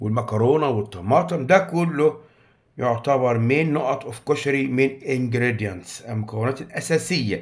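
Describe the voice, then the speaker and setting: On a very clean recording with a silent background, a man with an Egyptian accent speaks at a fairly slow pace and a medium pitch. His voice is somewhat breathy, his intonation lively. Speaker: English teacher. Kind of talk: tutorial.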